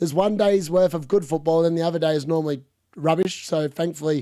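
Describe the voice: Fast and fairly even in intonation, a man with an Australian accent speaks at a fairly high pitch in a dark, mellow tone.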